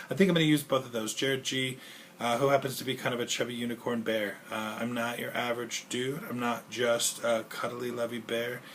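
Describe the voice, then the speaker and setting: Against noticeable background noise, a man speaks at a fairly quick pace and medium pitch with fairly even intonation. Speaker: 911 dispatcher and video blogger. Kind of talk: casual vlog monologue. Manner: fast; rambling with filler noises.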